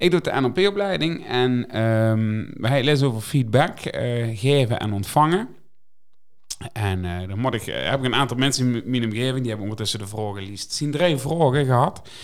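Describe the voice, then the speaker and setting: With an unremarkable speaking voice, a man at a medium pitch talks at a moderate pace with lively intonation. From Netherlands. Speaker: podcast co-host. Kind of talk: casual chat.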